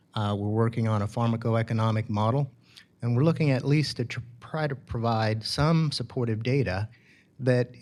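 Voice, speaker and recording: A medium-pitched man with a slight Southern US accent and ordinary pitch variation, in a very clean recording with a silent background. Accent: slight Southern drawl. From California. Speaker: biotech company CEO. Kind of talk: conference talk. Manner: halting, many fillers.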